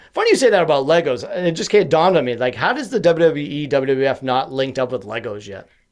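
A man's fairly high voice at a very fast pace, with lively intonation and hardly any pauses. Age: 30s. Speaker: podcast host and mental health advocate. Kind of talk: casual interview conversation. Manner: high-energy.

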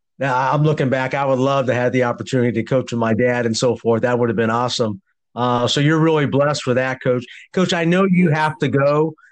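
A man's unremarkable speaking voice at medium pitch, fairly quick, with ordinary pitch variation and very even loudness against a quiet background. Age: 50s. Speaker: podcast host, basketball coach. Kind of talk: interview. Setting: phone call.

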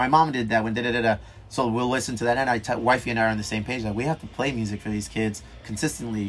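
Over noticeable background noise, a man with a medium-pitched voice talks at a very fast pace with fairly even intonation. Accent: American. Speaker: bar owner and brewery owner. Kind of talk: casual chat. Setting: on location in a dive bar.

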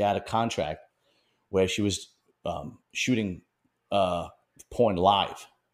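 A man talks in a Brooklyn accent. The recording is very clean, with a silent background. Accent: New York (Brooklyn). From Bensonhurst, Brooklyn, New York. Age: 40s. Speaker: podcast interviewer. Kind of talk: casual interview chat.

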